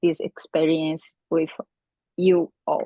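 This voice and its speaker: Speaking with a non-native accent, a woman holds a fairly low pitch and a monotone, flat intonation. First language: not English. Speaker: conference presenter. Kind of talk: conference presentation.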